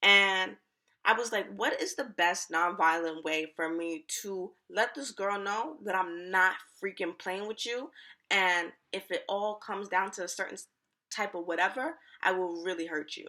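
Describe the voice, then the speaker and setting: A woman speaks at a fairly slow pace and medium pitch, her tone animated, bright and sharp, with ordinary pitch variation and big swings in loudness. The recording is very clean with a silent background. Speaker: YouTuber. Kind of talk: storytime vlog.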